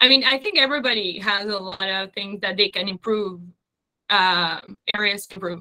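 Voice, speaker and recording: With a Spanish accent, a woman talks at a fairly quick pace and a medium pitch, using ordinary pitch variation and big swings in loudness. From Uruguay. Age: 30s. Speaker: business owner. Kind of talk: casual interview conversation.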